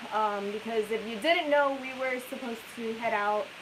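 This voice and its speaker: A woman speaks at a fairly high pitch with ordinary pitch variation. The room echoes audibly, and background noise is noticeable. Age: young. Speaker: RV travel vlogger. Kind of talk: live stream chat. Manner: soft-spoken.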